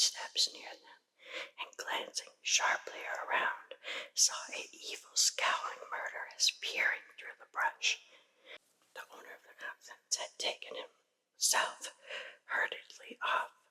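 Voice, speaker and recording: A very slow whisper with long, frequent pauses. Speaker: ASMR artist. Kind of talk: ghost story reading. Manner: soft-spoken, whispered.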